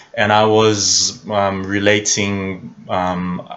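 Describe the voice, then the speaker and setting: In a non-native accent, a man with a very deep, low pitch speaks with monotone, flat intonation. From Israel. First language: Hebrew. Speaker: film analyst YouTuber. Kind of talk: video commentary monologue. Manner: halting with many fillers; slow.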